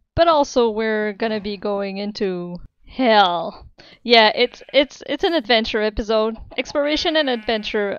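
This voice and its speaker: Speaking in a plain, everyday voice, a woman with a fairly high pitch talks at a moderate pace with lively intonation. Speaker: gaming video creator. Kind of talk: casual gameplay commentary.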